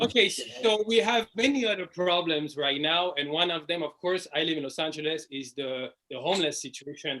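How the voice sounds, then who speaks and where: A man's high voice with a strong French accent, ordinary pitch variation and a moderate pace. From France. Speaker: stand-up comedian. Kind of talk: stand-up.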